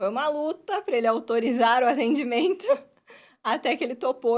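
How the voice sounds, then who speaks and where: A woman with a high-pitched voice. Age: 20s. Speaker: dentist and university professor. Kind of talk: interview answers.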